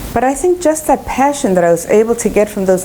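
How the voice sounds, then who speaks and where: A woman with a Spanish accent, fairly high pitch, lively intonation and a fairly quick pace over noticeable background noise. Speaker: education professor and researcher. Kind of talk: lecture.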